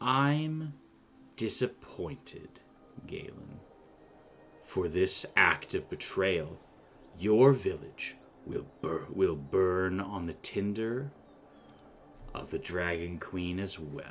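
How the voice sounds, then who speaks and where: Putting on a character voice, a man speaks quietly at a fairly low pitch and a very slow pace, with long, frequent pauses. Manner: quiet and menacing.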